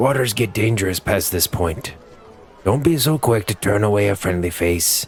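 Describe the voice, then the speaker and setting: A man performs a put-on character voice at a fairly low pitch. He keeps a moderate pace over clear background noise. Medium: read story. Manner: relaxed, sardonic.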